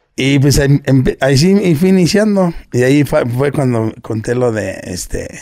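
A dark, mellow tone at a fairly slow pace over a quiet background. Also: man. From Mexico, Nezahualcóyotl (State of Mexico), born in Guerrero. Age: 40s. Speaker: internet personality, businessman. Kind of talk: casual interview chat. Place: home room. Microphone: studio mic.

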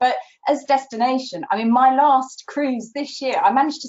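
Moderate pace from a woman, quiet background behind her. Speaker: travel journalist guest. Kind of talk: interview answer. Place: home room. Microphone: video call.

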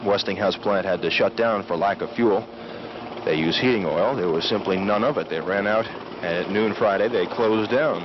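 A man talks at a fairly quick pace and fairly low pitch, with ordinary pitch variation. Noticeable background noise runs underneath. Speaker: TV news reporter. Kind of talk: live outdoor TV news reporting, 1977, on-the-spot play-by-play of the helicopter landing. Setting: outdoors at an airport in freezing wind. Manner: conversational, ad-libbed, with frequent 'uh' fillers and restarts; clear, measured newscaster delivery, matter-of-fact, briefly wry about the cold.

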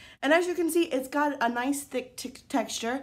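The speaker is a woman talking at a fairly quick pace. Her pitch swings very widely. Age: 20s. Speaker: beauty vlogger. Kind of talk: product review. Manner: casual, hesitant with fillers. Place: home room. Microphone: phone near.

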